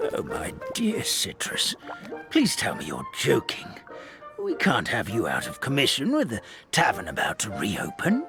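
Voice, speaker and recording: A put-on character voice over clear music in the background. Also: moderate pace. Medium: machinima.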